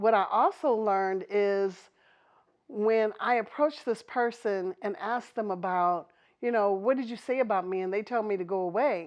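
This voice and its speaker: A woman talks at a moderate pace with a fairly high pitch. Her pitch varies in an ordinary way. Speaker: domestic violence prevention trainer. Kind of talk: podcast interview. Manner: animated.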